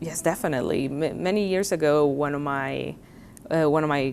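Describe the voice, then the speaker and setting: Moderate pace in a Spanish accent. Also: woman. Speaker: college professor. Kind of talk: interview.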